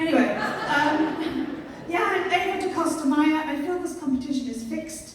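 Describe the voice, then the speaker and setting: A woman at high pitch and a moderate pace, intonation fairly even, with audible room echo and noticeable background noise. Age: 50s. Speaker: stand-up comedian. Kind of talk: stand-up. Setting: stage with audience.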